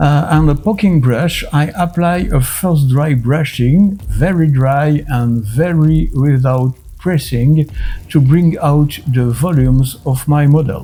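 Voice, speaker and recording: Over music in the background, a man with a French accent and fairly high pitch speaks at a very slow pace, with ordinary pitch variation and very even loudness. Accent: typically French. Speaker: miniature painting youtuber. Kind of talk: tutorial.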